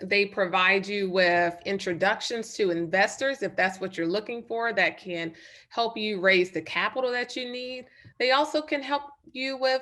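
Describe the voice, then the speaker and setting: A woman talks with a slight Southern US accent and fairly high pitch. Her tone is bright and sharp, her intonation lively, and the background quiet. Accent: slight Southern twang. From North Carolina. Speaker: nurse and startup advisor. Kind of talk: webinar presentation.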